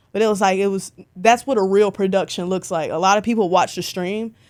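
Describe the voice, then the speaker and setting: Speaking at a very fast pace with a Southern US accent, a woman with medium pitch is heard on a very clean recording with a silent background. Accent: Southern twang. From Alabama, Birmingham. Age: 20s. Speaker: concert photographer. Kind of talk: casual interview chat. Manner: animated.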